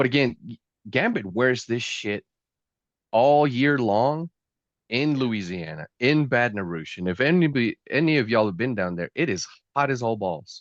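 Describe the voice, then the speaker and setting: A man at a medium pitch with a Southern accent, animated tone and lively intonation, moderate pace, quiet background, and a dry, close sound with no echo. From US South. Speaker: pop culture reviewer. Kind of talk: casual chat.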